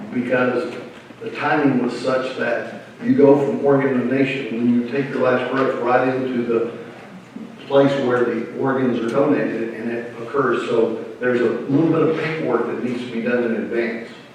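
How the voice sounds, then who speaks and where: A man's monotone, flat delivery amid audible room echo and noticeable background noise. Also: medium pitch for a man, moderate pace. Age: 60s. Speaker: funeral home professional. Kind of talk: presentation. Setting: seminar with live audience.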